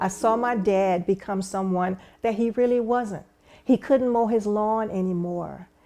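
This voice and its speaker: A woman talks fairly slowly in a Louisiana accent. Her fairly high voice has a dark, mellow tone and ordinary pitch variation. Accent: Southern US, Louisiana. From US South, rural Louisiana. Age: 60s. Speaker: stroke survivor's daughter sharing story. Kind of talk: testimony. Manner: halting, many repetitions.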